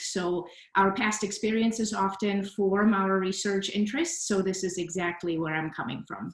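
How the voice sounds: Her pace is moderate. The room adds a noticeable echo as the woman talks.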